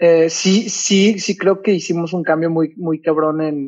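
This man has a fairly high voice and fairly even intonation. He speaks at a very slow pace. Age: young. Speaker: musician; podcast guest. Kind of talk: casual interview. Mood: relaxed, casual. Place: home room.

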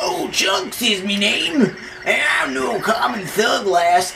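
A man puts on a character voice, pitched high and delivered fairly slowly over loud background noise. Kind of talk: rough, nautical. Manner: gruff, swaggering.

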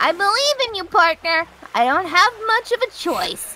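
In a put-on character voice, a woman speaks at a moderate pace with an extremely high pitch, a bright, sharp tone and big pitch swings.

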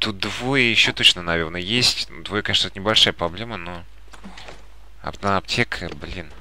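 A man with a very deep, low pitch talks at a moderate pace, using ordinary pitch variation and long, frequent pauses. His loudness swings widely, and there is noticeable background noise. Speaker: gaming YouTuber. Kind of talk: let's play commentary. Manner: calm, subdued commentary.

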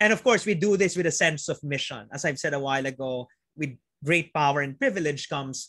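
A man with a Filipino accent at a fairly quick pace, with ordinary pitch variation and a quiet background. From Philippines. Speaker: physician and planetary health researcher; invited lecturer. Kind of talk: webinar lecture. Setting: video call. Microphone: video call.

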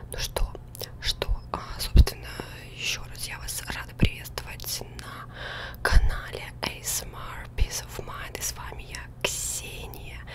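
Whispering and soft-spoken, a woman speaks at a very slow pace with long, frequent pauses over loud background noise. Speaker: ASMR streamer. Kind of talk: soft gaming commentary. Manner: soft close-mic ASMR whisper. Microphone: studio mic.

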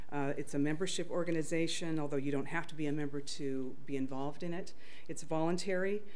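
At a very fast pace, a woman speaks with a very deep, low pitch and fairly even intonation. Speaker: conference presenter. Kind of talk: conference talk. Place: hall.

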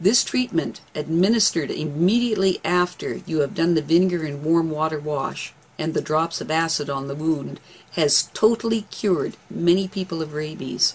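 A woman's fairly low voice at a moderate pace, with ordinary pitch variation. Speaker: herbal remedy educator. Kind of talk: tutorial. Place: home room.

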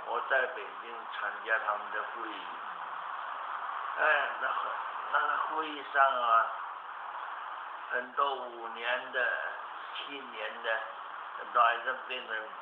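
Over noticeable background noise, a man talks at a very slow pace with long, frequent pauses. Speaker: qigong master, cancer survivor. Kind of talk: interview answer. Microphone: camera far.

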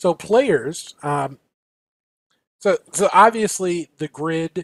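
In a dry sound with no echo, a man with an American accent talks at a very slow pace with ordinary pitch variation. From US Midwest. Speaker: podcast co-host. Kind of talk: casual chat. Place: home room. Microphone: video call.

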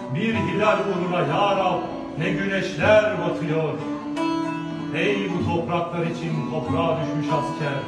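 With loud music in the background and audible room echo, a man speaks at a very slow pace. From Turkey. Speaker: gendarmerie sergeant. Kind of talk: poetry reading. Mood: solemn, emotional. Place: home room.

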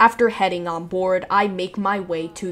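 This woman speaks at a fairly slow pace. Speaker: travel vlogger narrator. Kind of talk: travel vlog narration.

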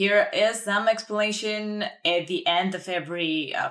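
Against a quiet background, a woman with a Bulgarian accent speaks at a fairly high pitch. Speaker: language teacher. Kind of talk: tutorial. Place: home room.

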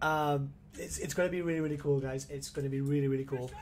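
Music fills the background while a man talks fairly quickly. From Gibraltar. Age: 20s. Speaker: gaming streamer. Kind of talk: casual gameplay livestream commentary. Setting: home livestream setup. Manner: animated.

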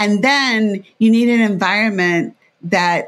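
A woman speaks with ordinary pitch variation. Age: 60s. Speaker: behavior analyst and professor. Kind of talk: interview conversation.

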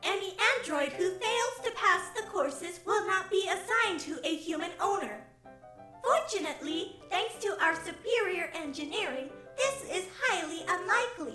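Clear music plays behind a woman doing a cartoonish character voice. Her pitch is extremely high and her pace moderate. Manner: earnest, upbeat, precise.

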